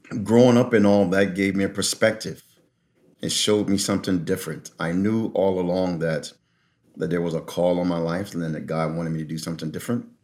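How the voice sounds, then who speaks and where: Very deep, low male voice, fairly even in intonation and fairly quick in pace. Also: very clean recording, silent background. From North Philadelphia, Pennsylvania. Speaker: pastor and prison reentry advocate. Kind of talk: interview conversation.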